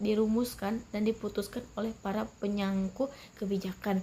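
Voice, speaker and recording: This woman speaks at a moderate pace with a medium pitch, her tone dark and mellow and somewhat breathy. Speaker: university student. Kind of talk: student presentation. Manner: formal; halting.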